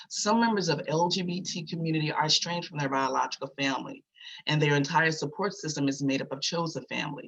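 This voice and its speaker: An American accent marks a man's very fast pace, with ordinary pitch variation. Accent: Virginia accent, noticeable to others. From Virginia. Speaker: community advocate. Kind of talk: testimony.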